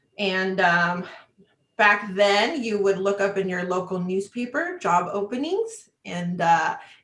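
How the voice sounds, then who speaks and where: Very slow speech from a woman with a Spanish accent, medium pitch and ordinary pitch variation. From Chicago, US Midwest. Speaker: travel industry business development manager. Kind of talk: interview.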